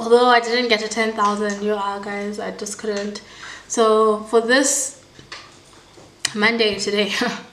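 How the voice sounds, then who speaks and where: Over noticeable background noise and audible room echo, a woman with a fairly high pitch speaks fairly slowly in a monotone, flat way, with long, frequent pauses. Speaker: vlogger. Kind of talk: casual vlog talk.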